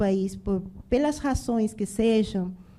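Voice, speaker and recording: A woman with a Spanish accent, fairly high-pitched, with a dark, mellow tone and fairly even intonation. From Venezuela, Bolívar. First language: Spanish (speaking Portuguese). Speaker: restaurant entrepreneur. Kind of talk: panel discussion.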